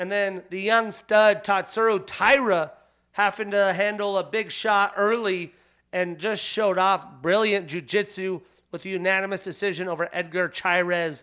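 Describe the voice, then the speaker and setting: A man's bright, sharp, high-pitched voice is raised and projected, with fairly even intonation at a moderate pace, on a very clean recording with a silent background. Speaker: podcast host. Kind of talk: solo podcast commentary.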